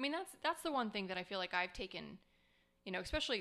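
A woman of medium pitch with an American accent has a bright, sharp tone with vocal fry. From US Southwest, Scottsdale, Arizona. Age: 40s. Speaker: podcast co-host. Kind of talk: casual chat.

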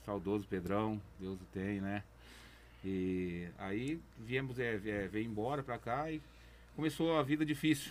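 Speaking very slowly, a man uses a fairly low pitch and lively intonation. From interior São Paulo state, Brazil (raised Bebedouro area). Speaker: community project leader. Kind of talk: interview testimony.

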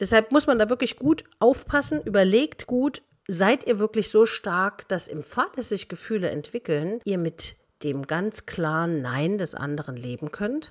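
A woman's medium-pitched voice at a moderate pace, very wide pitch swings, on a very clean recording with a silent background. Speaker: motivational coach, podcast host. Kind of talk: advice monologue.

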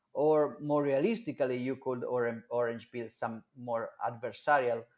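A man speaks with an Italian accent at a medium pitch. His pace is fairly slow. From Italy, Milan. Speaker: Bitcoin advocate. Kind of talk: interview.

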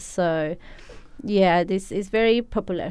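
A woman's medium-pitched voice in a Spanish accent. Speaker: cafe owner. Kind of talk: radio interview. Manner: halting.

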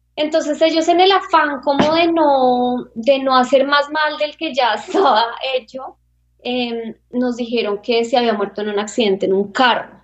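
Her intonation is lively. The woman's voice is high-pitched. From Colombia, Bogotá. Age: 30s. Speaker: interview guest. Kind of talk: personal life story interview. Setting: video call.

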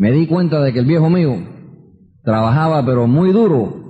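Somewhat breathy, a man's fairly high voice carries audible room echo. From New York (Queens, Bronx). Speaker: motivational speaker, business leader. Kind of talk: motivational talk. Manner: animated.

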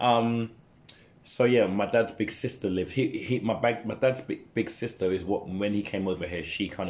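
The voice has a London accent. Its pitch variation is ordinary. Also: man. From East London (Newham). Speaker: dancer and youth mentor. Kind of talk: casual chat.

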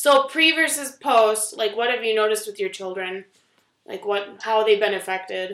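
At a moderate pace, a woman talks in a plain, everyday voice with a fairly high pitch. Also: ordinary pitch variation. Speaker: podcast co-host. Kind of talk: casual chat.

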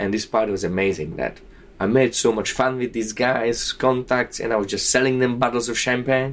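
A man speaks with a Slovak accent. His pace is fairly quick. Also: medium pitch for a man. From southern Slovakia. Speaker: bartender. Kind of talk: interview. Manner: animated.

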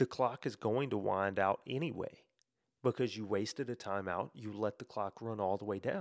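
A man with a Memphis accent and fairly low pitch talks at a moderate pace with ordinary pitch variation, in a very clean recording with a silent background and a dry, close sound with no echo. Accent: Southern US (Memphis). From US South, Memphis area, Tennessee. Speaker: sports podcast host. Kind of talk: solo podcast monologue. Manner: casual, filler-heavy.

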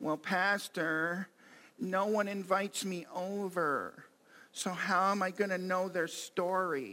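A man's high, whiny put-on character voice in a whiny tone at a fairly slow pace

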